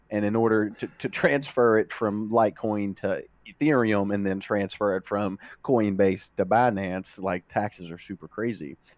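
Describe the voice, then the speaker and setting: A man with a slight Kentucky accent talks at a moderate pace. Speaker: streamer. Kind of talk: casual interview chat.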